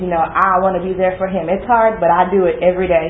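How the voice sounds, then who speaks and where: With an American accent, a woman of medium pitch speaks at a fairly quick pace in a monotone, flat intonation, with noticeable background noise and audible room echo. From Texas, Dallas. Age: 20s. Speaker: student. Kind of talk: class presentation.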